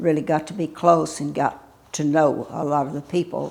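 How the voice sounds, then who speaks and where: Her voice sits very deep and low in pitch. The woman talks at a moderate pace, with fairly even intonation. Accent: Texan. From Texas, Houston area. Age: 80s+. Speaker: local elder, widow of a doctor and judge. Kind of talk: oral history interview. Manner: halting, many fillers.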